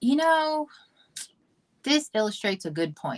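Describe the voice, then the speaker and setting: In a very clean recording with a silent background and a dry, close sound with no echo, a woman with a slight Southern US accent speaks with very wide pitch swings. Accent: Southern twang, slight. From US South, Georgia. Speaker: model and actress. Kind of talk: casual chat.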